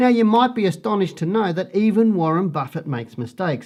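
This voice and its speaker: The accent is Australian. The speaker is a man. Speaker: stock market analyst. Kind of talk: market report presentation. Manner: slightly halting when reading charts.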